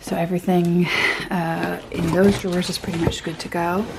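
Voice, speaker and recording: A woman speaks quietly at a medium pitch and a fairly slow pace. Noticeable background noise is present. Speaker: artist and illustrator vlogger. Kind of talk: casual vlog talk to camera. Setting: home studio. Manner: speaking very quietly; hesitant, many fillers.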